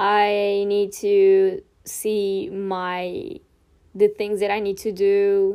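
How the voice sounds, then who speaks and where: A woman's dark, mellow voice at medium pitch, monotone and flat, with a Portuguese accent, on a very clean recording with a silent background. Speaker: podcast host. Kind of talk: casual chat. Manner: casual, rambling.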